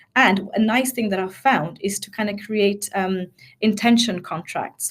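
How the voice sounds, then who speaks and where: This woman's voice is somewhat breathy. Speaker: change management expert and mindset coach. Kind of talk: webinar presentation. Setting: online webinar. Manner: fast.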